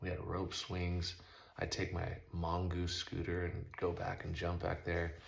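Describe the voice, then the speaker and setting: A man with an American accent talks in a very deep, low voice, his intonation monotone and flat. Room echo is audible, and there is noticeable background noise. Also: very even loudness. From Southern California. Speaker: motocross rider and vlogger. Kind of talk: casual monologue. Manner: fast.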